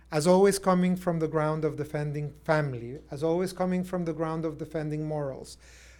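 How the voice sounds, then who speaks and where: In a very clean recording with a silent background, a man with a Spanish accent speaks with fairly even intonation. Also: fairly high pitch for a man, fairly quick pace. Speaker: human rights expert. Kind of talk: lecture-style panel presentation. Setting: stage with audience. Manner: halting.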